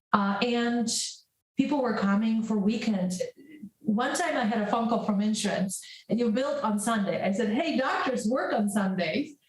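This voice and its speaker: A woman at a moderate pace, with very even loudness and audible room echo. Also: fairly high pitch for a woman, ordinary pitch variation. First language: Polish. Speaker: prescribing psychologist. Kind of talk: interview.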